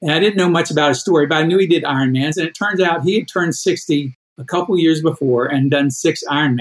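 A man's fairly high pitch in an unremarkable speaking voice. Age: 60s. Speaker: endurance athlete and coach. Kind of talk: interview.

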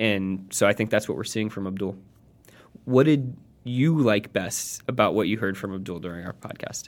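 A man with an unremarkable speaking voice, fairly low in pitch, at a moderate pace with ordinary pitch variation. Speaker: podcast co-host. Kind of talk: casual chat.

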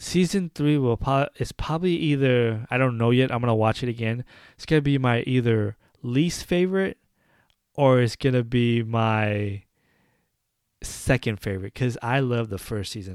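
A man talks in a plain, everyday voice at a moderate pace. His pitch varies in an ordinary way on a very clean recording with a silent background. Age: 30s. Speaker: podcast host. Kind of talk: casual solo commentary.

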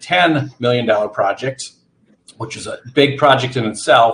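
There is an American accent in this man's speech. His tone is somewhat breathy. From central Wisconsin, US. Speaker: nonprofit CEO. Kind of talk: interview.

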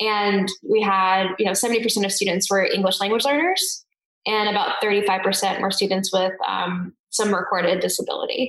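Using an ordinary speaking voice with an American accent, the speaker holds a moderate pace, fairly even intonation and very even loudness. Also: woman, medium pitch for a woman. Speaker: education research company CEO, former teacher. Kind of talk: interview conversation.

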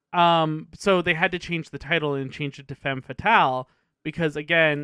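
A man with a normal speaking voice and a fairly high pitch talks at a moderate pace with fairly even intonation. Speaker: podcast host. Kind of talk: casual banter, movie discussion.

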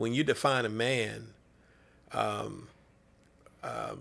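This is a man speaking. He talks with a Southern US accent. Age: 50s. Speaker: sports ministry director and pastor. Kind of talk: casual interview chat.

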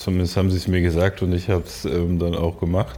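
A man speaks in a very deep, low voice. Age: 30s. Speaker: artist. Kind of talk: casual chat. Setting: studio.

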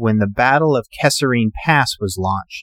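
At a moderate pace, a man speaks in an ordinary speaking voice with ordinary pitch variation, in a very clean recording that is dry and close with no echo over a silent background. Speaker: podcast host. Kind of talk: history documentary narration. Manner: measured, steady storytelling delivery; formal, clear, informative.

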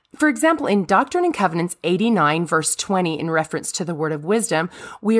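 A woman with an ordinary speaking voice, medium pitch and lively intonation, over a silent background in a very clean recording. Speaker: religious podcast host. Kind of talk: devotional monologue.

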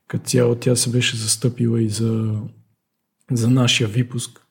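A man talks at a moderate pace in a flat monotone, his voice somewhat breathy. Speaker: alpine skier and former student. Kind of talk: interview. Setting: studio.

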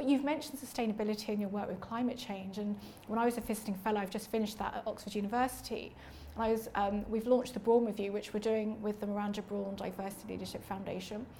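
A woman's fairly high, fairly even voice at a very fast pace, with audible room echo. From East London. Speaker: podcast host and charity founder. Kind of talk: interview conversation. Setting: livery company hall.

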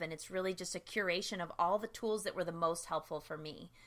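A woman with an American accent speaks at a fairly quick pace in a bright, sharp tone. Her medium pitch shows ordinary variation on a very clean recording with a silent background. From US East Coast (New Jersey, Philadelphia area, Bronx). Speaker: sobriety coach. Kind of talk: interview.

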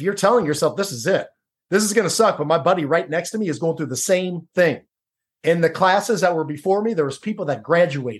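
Here a man talks at a very fast pace with a Midwestern American accent. His pitch is high, with ordinary pitch variation. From Ohio, Cincinnati. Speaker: former Navy SEAL and author. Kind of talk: podcast interview.

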